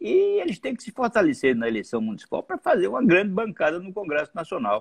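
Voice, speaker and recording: The sound is dry and close with no echo, against a quiet background. A man speaks very fast over it. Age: 70s. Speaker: former politician. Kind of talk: interview. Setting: live video stream.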